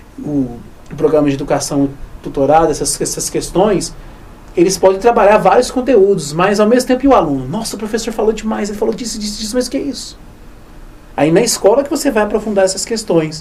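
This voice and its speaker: Against noticeable background noise, a man speaks very fast in a high pitch with very wide pitch swings. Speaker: history teacher. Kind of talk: research interview. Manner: fast, sometimes stumbling over words.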